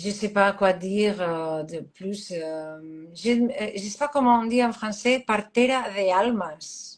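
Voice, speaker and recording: The delivery is very slow in pace, with lively intonation. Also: woman. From Catalonia, Spain. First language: Catalan (speaking French). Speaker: astrologer. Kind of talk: interview. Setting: live stream. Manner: halting.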